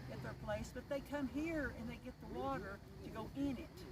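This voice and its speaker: A woman with an Appalachian accent speaks at a moderate pace amid noticeable background noise and audible room echo. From Eastern Kentucky, Harlan County. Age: 60s. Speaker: local resident. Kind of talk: interview.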